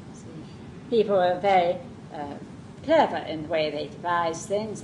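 A woman's fairly low voice in a southern English accent, at a fairly slow pace with ordinary pitch variation, over noticeable background noise. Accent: southern English, received pronunciation. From southern England. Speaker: Montessori teacher trainer. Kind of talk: lecture. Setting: classroom with live audience.

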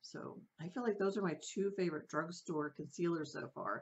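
A woman's fairly low voice with ordinary pitch variation. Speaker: beauty vlogger. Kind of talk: casual product review chat. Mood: enthusiastic, relaxed. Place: home room.

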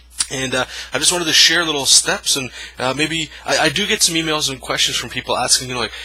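Talking at a very fast pace, a man keeps ordinary pitch variation. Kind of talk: tutorial. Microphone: phone near.

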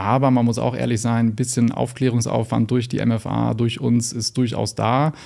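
Against a quiet background, a man with a dark, mellow tone talks at a moderate pace with hardly any pauses and monotone, flat intonation. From northern Germany, Lüneburg Heath; northern Germany. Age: young. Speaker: general practitioner; guest. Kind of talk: interview. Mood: calm, engaged, explanatory. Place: studio. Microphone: studio mic.

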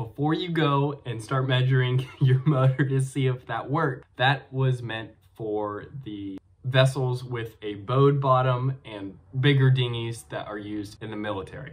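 A man speaks at a fairly slow pace with a somewhat breathy voice and fairly even intonation. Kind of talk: casual vlog chat. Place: home room. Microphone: webcam.

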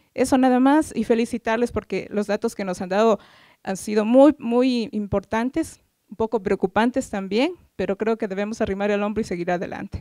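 Against a quiet background with a dry sound and no echo, a woman speaks at a moderate pace in a dark, mellow tone with ordinary pitch variation. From Ecuador. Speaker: government gender-equality official, audience member; audience member. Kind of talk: audience comment at conference. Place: meeting room.

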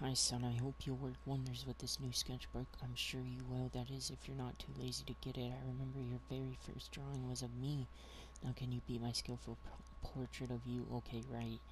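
The speaker has a somewhat breathy voice, a fairly quick pace and monotone, flat intonation. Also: man, very deep, low pitch for a man. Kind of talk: let's play commentary. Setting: home gaming setup. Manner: casual, slangy.

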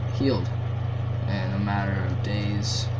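Loud background noise surrounds a man speaking at a very slow pace. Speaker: vlogger. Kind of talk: casual vlog chat. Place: home room. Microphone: webcam.

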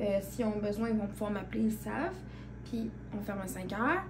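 A woman speaks with a Quebec accent. Noticeable background noise runs under her voice. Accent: Québécois French. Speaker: vlogger. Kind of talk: casual vlog chat. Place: home room. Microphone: phone near.

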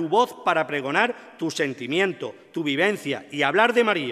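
Over a quiet background, a man speaks at a moderate pace with lively intonation and a bright, sharp tone. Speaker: presenter introducing the orator, brotherhood member. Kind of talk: formal introduction, devotional and poetic. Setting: stage with audience. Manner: solemn, emotional, rhetorical. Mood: solemn, devotional, emotive. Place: stage. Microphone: podium.

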